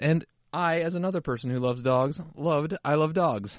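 In a normal speaking voice, the speaker goes at a moderate pace with ordinary pitch variation. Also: man. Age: middle-aged. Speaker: podcast host. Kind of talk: casual chat.

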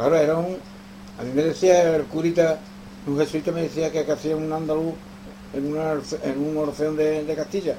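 A man talks at a moderate pace with a fairly high pitch and fairly even intonation. Long, frequent pauses break up his speech over noticeable background noise. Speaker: guitar teacher. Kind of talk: interview.

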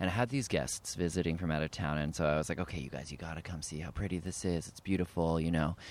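A very fast, very deep-voiced man with a Canadian accent, hardly any pauses and ordinary pitch variation, on a very clean recording with a silent background. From Canada, Ottawa. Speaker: actor and writer. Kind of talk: casual chat. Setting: outdoors in a park.

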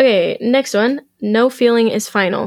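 A woman speaks at a fairly slow pace in an unremarkable speaking voice, her intonation fairly even. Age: 20s. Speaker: podcast guest sharing life lessons. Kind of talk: casual chat. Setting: studio.

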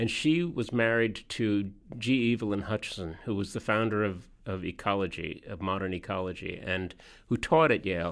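The speech moves at a moderate pace with ordinary pitch variation, captured in a very clean recording with a silent background. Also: man, fairly low pitch for a man. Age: 60s. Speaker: journalist and author. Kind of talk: interview. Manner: halting, many false starts.

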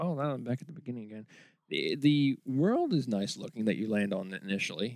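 With lively intonation, a man of medium pitch talks at a fairly quick pace in a normal speaking voice. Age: 40s. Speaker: video game podcast host. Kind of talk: casual chat.

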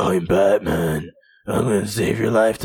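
A man's put-on character voice, raspy and fairly low in pitch. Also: moderate pace.

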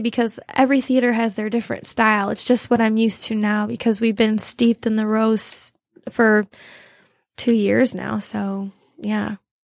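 A woman with a Midwestern American accent, fairly high pitch and fairly even intonation, at a moderate pace in a dry, close sound with no echo. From Toledo, Ohio. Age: 20s. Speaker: stage actress. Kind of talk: casual interview.

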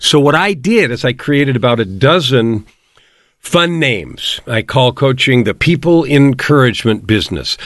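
A man with an American accent has an unremarkable speaking voice at medium pitch. His intonation is lively. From US West Coast, San Francisco. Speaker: life coach and author. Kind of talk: interview.

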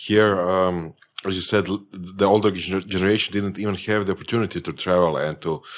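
A man with a Croatian accent speaks at a moderate pace, very deep and low in pitch, with fairly even intonation. The recording is very clean, with a silent background. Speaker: podcast host. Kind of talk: podcast interview.

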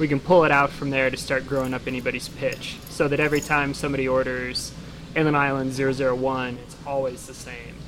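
A man speaks fairly quickly at a medium pitch in a flat monotone, his loudness swinging widely over noticeable background noise. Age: 20s. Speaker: yeast lab owner. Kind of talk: casual chat.

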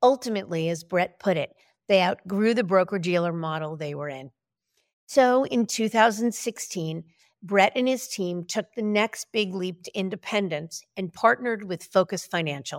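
In an ordinary speaking voice, a woman at medium pitch talks at a moderate pace with lively intonation and big swings in loudness, recorded very cleanly against a silent background with a dry, close sound and no echo. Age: 60s. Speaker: podcast host and advisor recruiter. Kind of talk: interview.

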